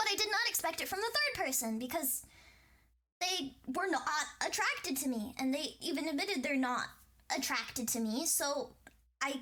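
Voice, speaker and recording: Over noticeable background noise, a woman uses a raised, projected voice at a high pitch, speaking at a fairly quick pace with lively intonation. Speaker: Twitch streamer. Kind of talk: reaction commentary. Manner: halting.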